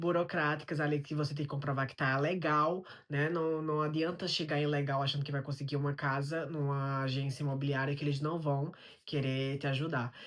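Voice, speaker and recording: Talking at a fairly quick pace, a man with a fairly high voice is heard on a very clean recording against a silent background. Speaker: immigrant vlogger. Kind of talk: vlog monologue. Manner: conversational.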